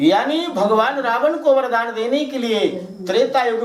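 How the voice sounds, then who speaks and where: A man with a Bagheli accent speaks at an extremely high pitch, with ordinary pitch variation. Noticeable background noise runs behind him. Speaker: religious storyteller. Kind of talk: devotional katha narration.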